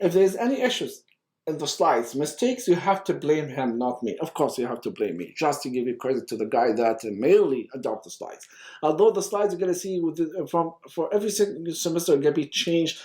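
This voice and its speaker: The tone is dark and mellow. The pace is very fast. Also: man. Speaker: university lecturer. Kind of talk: lecture. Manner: fast when excited; animated.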